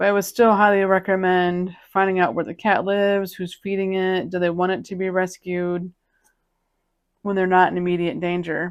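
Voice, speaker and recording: A woman at a medium pitch and moderate pace, monotone and flat in intonation, in a very clean recording with a silent background. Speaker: cat video creator. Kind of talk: casual chat.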